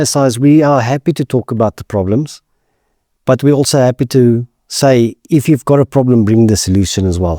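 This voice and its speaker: A man with a South African accent, medium pitch and a dark, mellow tone, lively intonation at a fairly quick pace, on a very clean recording with a silent background and a dry, close sound with no echo. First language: Afrikaans. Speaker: insurance executive. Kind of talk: podcast interview.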